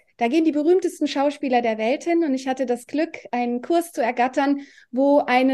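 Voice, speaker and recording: Against a quiet background, a woman talks at a fairly quick pace in a high pitch with a dark, mellow tone and ordinary pitch variation. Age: 50s. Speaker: osteopath and family therapist. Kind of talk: casual interview.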